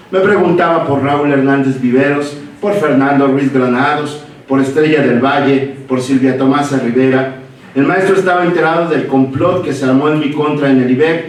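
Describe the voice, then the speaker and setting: Amid noticeable background noise and audible room echo, a man with a fairly high pitch speaks at a moderate pace, his intonation fairly even and his loudness very even. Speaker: former student giving a tribute. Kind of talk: memorial tribute, reading a prepared text.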